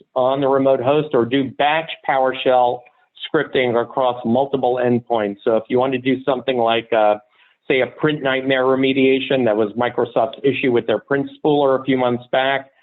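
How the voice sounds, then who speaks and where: A man's medium-pitched voice stays monotone and flat, with very even loudness throughout. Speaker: software company product executive. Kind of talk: product webinar presentation. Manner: fast.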